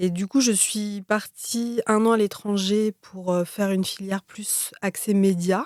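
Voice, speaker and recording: A woman talks at a fairly slow pace with hardly any pauses and fairly even intonation. The sound is dry and close with no echo. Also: medium pitch for a woman. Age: 30s. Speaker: film producer. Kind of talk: interview. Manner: hesitant, many fillers.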